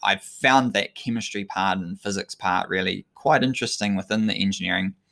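A man with a New Zealand accent speaks at a moderate pace with lively intonation, in a very clean recording with a silent background and a dry, close sound with no echo. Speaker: sports scientist and endurance coach. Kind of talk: solo talk monologue, live-streamed. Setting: live stream to social media.

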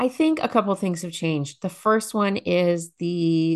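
An ordinary speaking voice with ordinary pitch variation is heard over a quiet background. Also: woman. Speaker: nurse and parenting educator.

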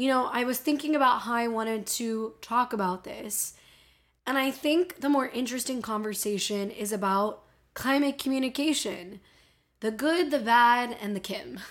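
A woman talks at a high pitch with a Miami accent. The recording is very clean, with a silent background. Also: ordinary pitch variation, moderate pace. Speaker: podcast host about climate change. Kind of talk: casual solo podcast monologue. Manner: chatty, humorous, animated.

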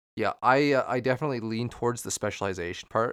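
A man with a plain, everyday voice speaks with an American accent at a fairly quick pace and ordinary pitch variation. The recording is very clean, with a silent background and a dry, close sound with no echo. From Minnesota. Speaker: podcast co-host. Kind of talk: casual chat.

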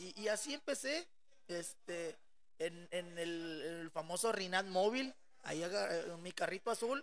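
Very slowly, a high-pitched man speaks with lively intonation. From Monterrey, northern Mexico. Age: 30s. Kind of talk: casual chat.

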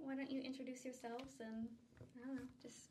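A woman with a high pitch speaks in a raised, projected voice. Her pace is moderate, and there is noticeable background noise. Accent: American. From United States. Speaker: charity staff worker, podcast host. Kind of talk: casual chat; scripted intro. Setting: studio recording.

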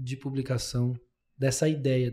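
Somewhat breathy, the voice carries a dark, mellow tone. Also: man. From Brazil, interior of São Paulo state. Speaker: podcast host and lawyer. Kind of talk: casual interview chat.

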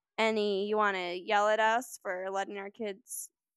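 Someone reads aloud in a natural voice with fairly even intonation. The background is quiet.

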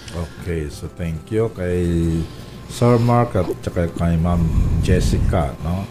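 A man speaks very slowly in a very deep, low voice with ordinary pitch variation, over noticeable background noise. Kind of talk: radio talk show. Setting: radio studio.

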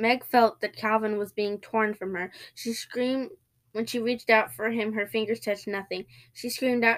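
The intonation is fairly even throughout. It is reading aloud in a natural voice.

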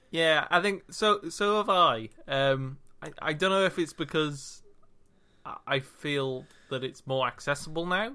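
A fairly slow delivery with a Welsh accent. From Wales. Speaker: podcast co-host. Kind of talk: casual banter podcast.

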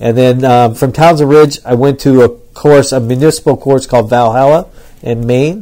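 A man's dark, mellow tone with fairly even intonation. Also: medium pitch for a man, moderate pace. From New Hampshire. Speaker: golf club head pro. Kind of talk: interview. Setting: on location at a country club.

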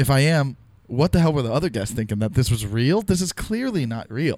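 In a very clean recording with a silent background, a man with a normal speaking voice talks fairly quickly at medium pitch with lively intonation. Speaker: fellow podcaster. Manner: teasing, joking.

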